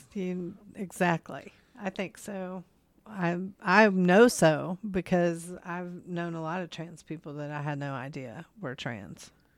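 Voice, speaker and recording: With an East Tennessee accent, a woman speaks very slowly at a fairly low pitch, using ordinary pitch variation and big swings in loudness. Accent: US Southern (East Tennessee). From East Tennessee (Kodak). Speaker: podcast co-host and drag show organizer. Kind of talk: casual chat.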